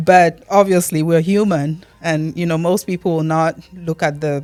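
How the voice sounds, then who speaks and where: A woman's fairly low, monotone voice with flat intonation at a moderate pace, with music in the background. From Cameroon. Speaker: immigrant. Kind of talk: interview answer.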